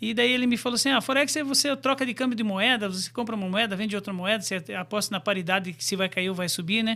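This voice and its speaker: This man talks at a very fast pace with hardly any pauses, his voice raised and projected, high-pitched, bright and sharp in tone, with ordinary pitch variation. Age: 50s. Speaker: forex trader and brokerage CEO. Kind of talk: interview.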